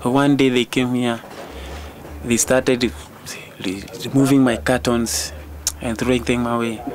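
The man talks at a medium pitch and a moderate pace, with ordinary pitch variation, while noticeable background noise carries on. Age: 20s. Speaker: street youth group leader. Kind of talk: documentary interview. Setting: outdoors. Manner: halting.

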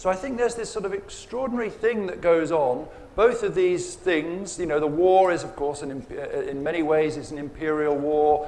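A man with an English accent, high-pitched, lively in intonation, with hardly any pauses. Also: moderate pace. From England. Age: 50s. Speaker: writer. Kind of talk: panel discussion. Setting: stage with audience. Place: tent. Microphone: lapel.

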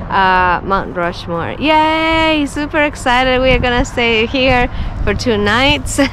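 A woman speaks at a fairly slow pace. The sound is dry with no echo, though noticeable background noise is present. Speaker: travel vlogger. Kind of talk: casual vlog chat. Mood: cheerful, excited. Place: home room. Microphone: phone near.

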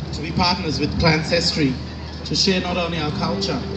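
Loud background noise fills the recording. Over it, a man speaks at a moderate pace. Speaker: choir spokesperson. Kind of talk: formal stage introduction. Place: stage.

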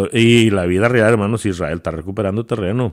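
Fairly low male speech on a very clean recording, silent background. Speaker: preacher. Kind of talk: sermon. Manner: halting, repeating words as he searches for phrasing.

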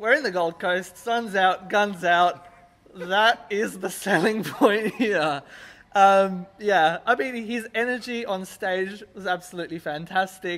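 Talking at a fairly slow pace, a man uses a high pitch. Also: ordinary pitch variation. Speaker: music reviewer. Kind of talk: review commentary chat. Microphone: handheld.

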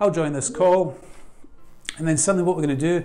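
A man speaks at a fairly high pitch with vocal fry. His tone is dark and mellow.

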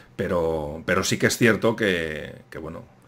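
This man speaks at a fairly slow pace in a very deep, low pitch. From Spain. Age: 40s. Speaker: YouTube history channel host. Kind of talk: casual interview chat. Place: home room.

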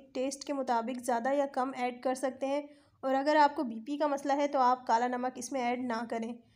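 Her pitch is high for a woman, and her intonation stays monotone and flat. She talks at a fairly slow pace. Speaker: cooking video creator. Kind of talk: cooking tutorial.

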